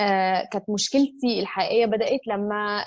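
Speaking with an Egyptian accent, a woman uses a fairly high pitch with ordinary pitch variation at a moderate pace. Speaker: architect and yoga teacher. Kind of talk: casual interview.

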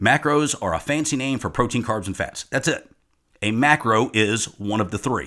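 Here a man has an unremarkable speaking voice with a fairly low pitch and lively intonation. The recording is very clean, with a silent background. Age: 50s. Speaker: fitness and nutrition coach. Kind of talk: solo podcast monologue.

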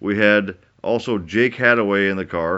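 The pace is moderate as a man talks. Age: 40s. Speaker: podcast host, skate park owner. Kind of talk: casual chat. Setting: studio. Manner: animated.

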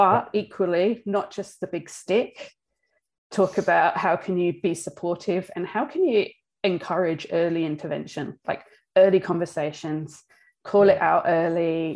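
On a very clean recording with a silent background, a woman with an Australian accent speaks at a fairly slow pace, her fairly low pitch showing ordinary variation. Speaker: business director and podcast host. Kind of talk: casual chat.

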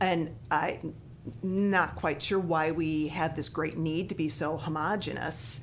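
Her pitch very deep and low, a woman speaks at a very slow pace with vocal fry. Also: ordinary pitch variation. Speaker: yoga studio owner. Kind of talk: casual chat.

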